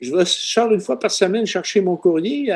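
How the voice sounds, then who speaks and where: The speaker has a Quebec accent. The tone is dark and mellow. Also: man. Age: 70s. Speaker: retired seismologist. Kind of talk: podcast interview.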